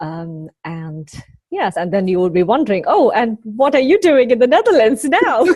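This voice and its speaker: In a Kerala accent, a woman talks at a moderate pace, her fairly high voice making very wide pitch swings. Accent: Indian English (Kerala). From India, Kerala. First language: Malayalam. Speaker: spiritual mentor. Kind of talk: interview.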